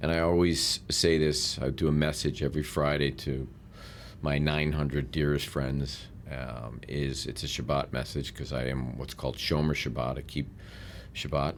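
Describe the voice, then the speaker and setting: A man's very deep, low voice at a moderate pace, flat and monotone, with audible room echo. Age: 60s. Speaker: real estate mentor and businessman. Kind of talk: podcast interview.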